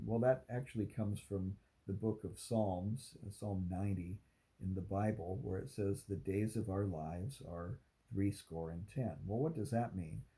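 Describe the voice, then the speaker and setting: A man speaks in a dark, mellow tone, somewhat breathy. His pitch is fairly low, with ordinary variation. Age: 60s. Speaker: content creator on aging. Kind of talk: talking-head video monologue. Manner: halting with fillers.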